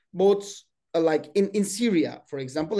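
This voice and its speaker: Speaking with a Turkish accent, a man uses a dark, mellow tone, lively intonation and a fairly quick pace. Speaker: webinar host and political science professor. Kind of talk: panel discussion moderation. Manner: halting.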